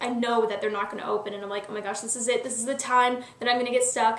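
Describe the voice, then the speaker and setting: A woman's fairly high-pitched, monotone, flat voice amid audible room echo and noticeable background noise. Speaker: YouTube vlogger. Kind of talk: casual vlog monologue. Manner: fast; filler-heavy, lots of um and like.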